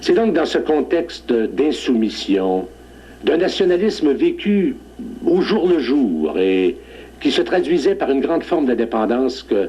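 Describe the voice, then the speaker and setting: A man with a Beauce accent, very slow in pace and very even in loudness. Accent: Quebec French, Beauce. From Beauce, Quebec, Canada. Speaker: judge. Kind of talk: TV interview, historical reminiscence.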